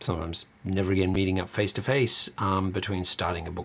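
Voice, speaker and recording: With a very deep, low pitch and a bright, sharp tone, a man speaks at a fairly quick pace. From Australia. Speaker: university lecturer. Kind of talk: lecture. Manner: many filler sounds (um, uh).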